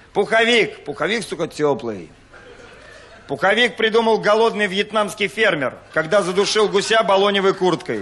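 This man talks at a moderate pace. His voice is high-pitched with ordinary variation. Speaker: stand-up comedian. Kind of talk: stand-up comedy monologue. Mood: deadpan, mock-serious. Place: stage. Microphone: handheld.

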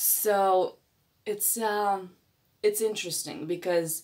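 A woman's voice at medium pitch, with ordinary pitch variation and a quiet background. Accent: non-native. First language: not English. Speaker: astrology reader. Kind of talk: astrology reading. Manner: halting, with frequent fillers. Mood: warm, upbeat. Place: home room. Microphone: phone near.

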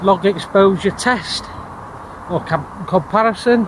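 Amid light background noise, a man with a high voice speaks with fairly even intonation in a dry sound with no echo. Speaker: tech vlogger. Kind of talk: casual vlog chat. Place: street. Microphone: phone near.

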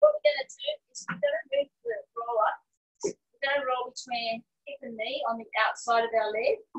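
At a moderate pace, a woman speaks with long, frequent pauses and big swings in loudness. The background stays quiet. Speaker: fitness instructor. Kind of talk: exercise class instruction. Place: garden. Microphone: camera far.

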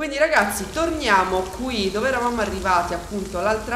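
A woman's voice with ordinary pitch variation, audible room echo and light background noise. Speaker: gaming youtuber. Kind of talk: let's play commentary. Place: home room.

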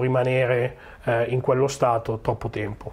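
Somewhat breathy speech at a moderate pace. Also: man. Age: 40s. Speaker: agile coach. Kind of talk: conference talk. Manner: hesitant, many fillers.

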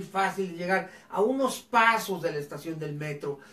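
Amid audible room echo, a man with a high pitch and an animated tone speaks at a moderate pace with ordinary pitch variation. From northern Mexico, Ciudad Cuauhtémoc, Chihuahua; Chihuahua. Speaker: educator and live show host; educator, live show host. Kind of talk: live educational talk show. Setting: live online broadcast on camera. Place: home room.

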